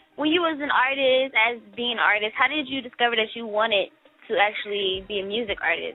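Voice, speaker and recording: Over noticeable background noise, a woman talks at a fairly quick pace with a high pitch and lively intonation. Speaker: radio host. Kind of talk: interview. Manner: fast.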